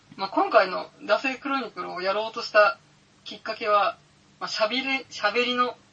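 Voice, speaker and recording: A woman's fairly high voice at a moderate pace, with big swings in loudness and noticeable background noise. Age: 30s. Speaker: podcaster and office worker. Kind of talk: casual chat. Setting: home recording with IC recorder. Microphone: IC recorder with cheap mic.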